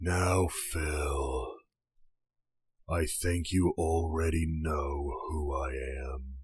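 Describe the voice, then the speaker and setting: In a put-on character voice, a man speaks very deep and low, raspy, at a very slow pace with fairly even intonation. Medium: audio drama. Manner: calm, unhurried, quietly menacing.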